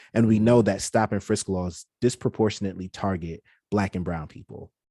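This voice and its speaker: A man with a New York accent, fairly low in pitch and dark, mellow in tone, at a moderate pace with fairly even intonation, in a dry, close sound with no echo and a quiet background. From New York City, Brooklyn. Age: 30s. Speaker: podcast producer. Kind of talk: interview.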